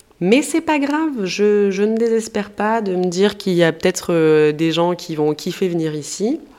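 Through noticeable background noise, a woman with a medium pitch talks at a very slow pace with lively intonation. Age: 30s. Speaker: podcaster. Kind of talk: casual monologue. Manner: animated.

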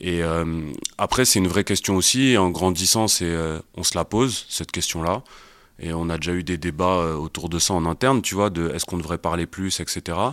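Very deep and low, a man's voice moves at a moderate pace with ordinary pitch variation. The recording is very clean with a silent background. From Paris suburbs (Val-de-Marne). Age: 30s. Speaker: entrepreneur, agency co-founder. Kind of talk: casual interview. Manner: halting, repeats words.

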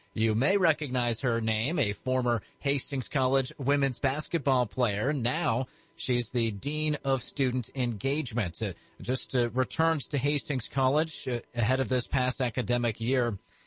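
The voice is somewhat breathy, its loudness very even. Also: man, medium pitch for a man, ordinary pitch variation, dry, close sound with no echo. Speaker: radio interviewer. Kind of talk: interview. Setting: radio studio.

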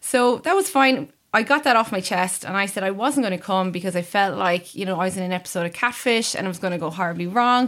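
On a very clean recording with a silent background, a woman at a medium pitch speaks fairly quickly in an Irish accent with ordinary pitch variation. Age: 30s. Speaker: sanctions analyst. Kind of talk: casual chat.

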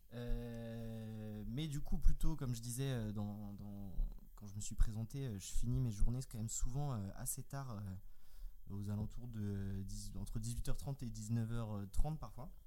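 Speaking very slowly, a man is heard. His voice carries audible room echo. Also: big swings in loudness. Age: 20s. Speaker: software engineer. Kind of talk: casual chat.

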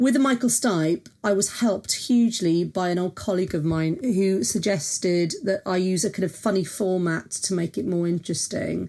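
Speaking in a South Welsh accent, a woman keeps a medium pitch with ordinary pitch variation, a dark, mellow tone, very even loudness and a moderate pace with hardly any pauses. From South Wales. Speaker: music journalist and critic. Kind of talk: casual interview chat.

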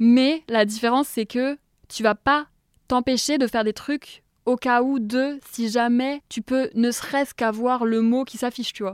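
At a fairly slow pace, a woman with a high pitch speaks in a monotone, flat intonation, in a dry, close sound with no echo on a very clean recording with a silent background. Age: 20s. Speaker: content creator. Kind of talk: casual chat. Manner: hesitant, many fillers.

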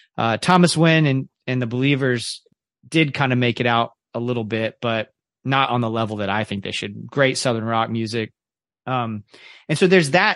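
A man with a normal speaking voice talks at a medium pitch, the sound dry and close with no echo over a quiet background. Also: ordinary pitch variation, moderate pace. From Central Florida (Ocala), Kentucky family. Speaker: teacher, podcaster and music journalist. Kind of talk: casual interview conversation.

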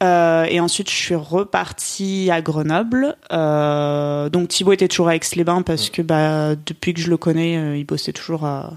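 Her intonation is fairly even, in an ordinary speaking voice with hardly any pauses. The woman's pitch is fairly low. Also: fairly slow pace. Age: 20s. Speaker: journalism graduate. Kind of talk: interview.

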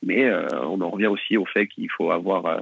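A man's fairly low-pitched voice, with ordinary pitch variation, at a moderate pace. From France, Nantes area. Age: 30s. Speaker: football coach. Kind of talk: interview. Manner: halting.

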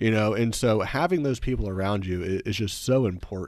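A man with a normal speaking voice, fairly low pitch and lively intonation, at a moderate pace, in a very clean recording with a silent background. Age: 20s. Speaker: videographer and entrepreneur. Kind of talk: casual chat.

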